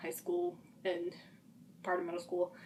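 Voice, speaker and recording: With an American accent, a woman speaks at a medium pitch and moderate pace against noticeable background noise. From Utah. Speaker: vlogger. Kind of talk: personal testimony. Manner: halting, rambling.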